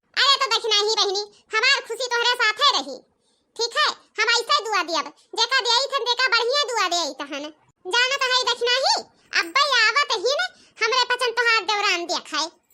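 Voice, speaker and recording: A woman's cartoonish character voice, extremely high in pitch, with lively intonation at a moderate pace. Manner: warm, blessing.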